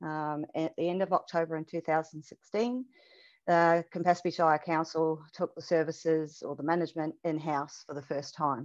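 Delivery moves at a moderate pace. The accent is a New Zealand one. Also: woman, very deep, low pitch for a woman, fairly even intonation, quiet background. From New Zealand, Auckland. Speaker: animal shelter manager; presenter. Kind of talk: webinar presentation. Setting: video call. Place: home room. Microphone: headset.

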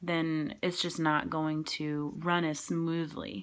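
A woman's fairly low voice with fairly even intonation, on a very clean recording with a silent background. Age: 20s. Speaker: community college student. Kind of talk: class speech. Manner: casual, hesitant with many fillers.

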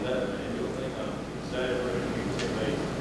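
A man talks at a fairly quick pace over loud background noise, with audible room echo. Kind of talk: public talk, reminiscing. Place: hall. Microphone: camera far.

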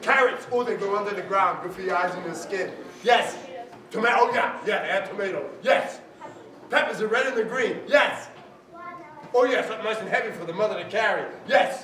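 A raised, projected voice moves at a fairly quick pace broken by long, frequent pauses, with audible room echo and light background noise. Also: man, high pitch for a man, ordinary pitch variation. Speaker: storyteller. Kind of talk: storytelling with audience participation. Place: hall.

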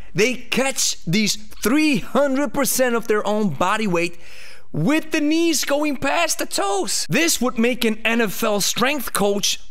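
This man talks at a very slow pace. His intonation is lively. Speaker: fitness coach. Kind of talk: educational commentary. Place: studio. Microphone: studio mic.

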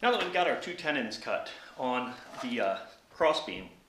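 Over loud background noise, the speaker talks at a moderate pace with ordinary pitch variation. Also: man. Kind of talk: tutorial. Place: garage. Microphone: camera far.

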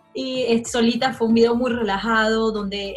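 A woman speaks at a moderate pace with fairly even intonation while faint music plays in the background. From Margarita Island, Venezuela. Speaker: singer. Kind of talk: interview answer. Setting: home video call. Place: home room. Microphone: video call.

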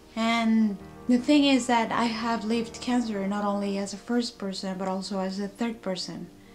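Faint music plays in the background as a woman with a fairly high pitch speaks at a moderate pace with fairly even intonation. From Mexico. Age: 30s. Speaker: cancer patient. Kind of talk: personal vlog talk to camera. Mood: sad, subdued. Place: home room. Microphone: webcam.

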